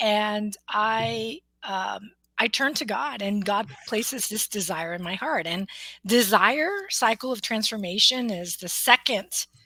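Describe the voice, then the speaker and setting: Speaking at a fairly slow pace, a woman with an American accent has a normal speaking voice, pitched fairly high with ordinary pitch variation. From US, Mexican American family. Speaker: motivational speaker, coach and author. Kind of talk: interview about her book.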